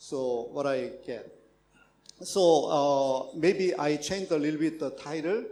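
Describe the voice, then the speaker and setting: A man with a Korean accent speaks very slowly in a dark, mellow tone, his fairly high pitch showing ordinary variation amid audible room echo. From South Korea. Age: 60s. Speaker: professor. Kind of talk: conference talk. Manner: halting.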